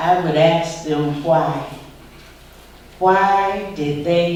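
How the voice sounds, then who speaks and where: A woman's fairly low voice with an American accent at a very slow pace, with audible room echo and noticeable background noise. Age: 60s. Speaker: civil rights activist. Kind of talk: school Q&A talk. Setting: school visit with students.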